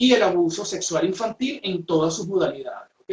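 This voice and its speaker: A moderate pace with a Venezuelan accent. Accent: Venezuelan accent kept intact. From Venezuela, Puerto Ordaz / Ciudad Guayana. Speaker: psychologist and trainer. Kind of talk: webinar presentation. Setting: video call. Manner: hesitant, many fillers.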